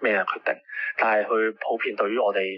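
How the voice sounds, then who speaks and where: The speaker is a man. He goes at a moderate pace. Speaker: pro-democracy activist. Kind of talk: news interview. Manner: halting, many fillers.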